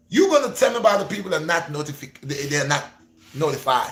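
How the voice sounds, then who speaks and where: A man's animated tone with very wide pitch swings. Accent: Gambian. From Gambia. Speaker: YouTuber, fitness and faith vlogger. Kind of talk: livestream chat. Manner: repetitive, stammering.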